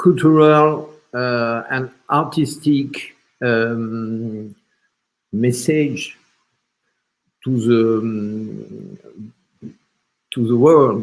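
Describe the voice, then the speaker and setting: A man with a French accent and a medium pitch speaks very slowly, leaving long, frequent pauses. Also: ordinary pitch variation. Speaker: film platform representative. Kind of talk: panel discussion. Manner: halting.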